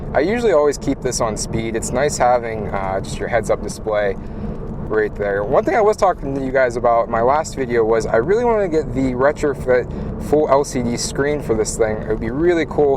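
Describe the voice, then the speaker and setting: Amid noticeable background noise, a man with a medium-pitched voice talks at a fairly quick pace with lively intonation. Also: hardly any pauses. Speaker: car vlogger. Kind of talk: casual POV driving vlog. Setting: in a car. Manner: loud.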